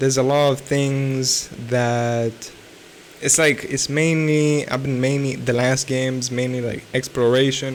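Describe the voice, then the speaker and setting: This man talks at a fairly slow pace with a medium pitch. His intonation is monotone and flat, with noticeable background noise behind him. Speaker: self-improvement vlogger. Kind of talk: unscripted vlog monologue. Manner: halting, many restarts and fillers; slurred speech.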